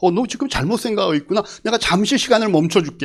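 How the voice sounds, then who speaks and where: A man speaks with lively intonation. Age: 60s. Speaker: pastor. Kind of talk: sermon.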